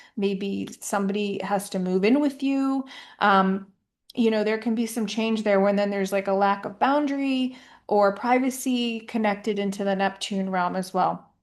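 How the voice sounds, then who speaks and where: The woman has an unremarkable speaking voice at a medium pitch. She keeps a moderate pace and fairly even intonation against a quiet background. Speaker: astrologer. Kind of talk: horoscope monologue. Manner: casual with fillers.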